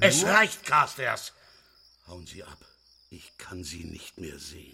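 A raspy, put-on character voice moves along at a fairly slow pace. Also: man, very deep, low pitch for a man. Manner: furious, shouting.

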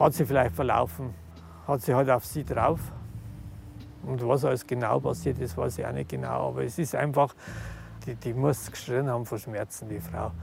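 Pausing often and at length, a man talks at a moderate pace with lively intonation. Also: medium pitch for a man. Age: 50s. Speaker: relative of deceased care home resident. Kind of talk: interview. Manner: halting.

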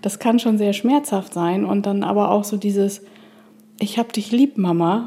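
Over noticeable background noise, a woman speaks at a medium pitch and a fairly slow pace, with fairly even intonation. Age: 50s. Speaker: mother of two. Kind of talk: casual chat. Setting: studio.

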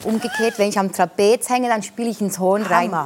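A woman's voice with fairly even intonation over noticeable background noise. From Italian-speaking Switzerland. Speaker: alphorn player. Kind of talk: talk show conversation.

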